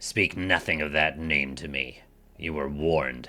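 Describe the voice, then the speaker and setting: A man puts on a character voice that is raspy and very deep and low in pitch. He speaks at a moderate pace. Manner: warning, gruff.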